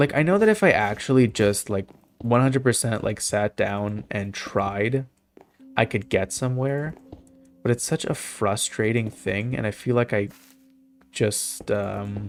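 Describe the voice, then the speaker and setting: Speaking at a fairly slow pace, a man uses a medium pitch. His pitch varies in an ordinary way. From Canada. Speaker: video game streamer. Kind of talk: casual chat. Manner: halting.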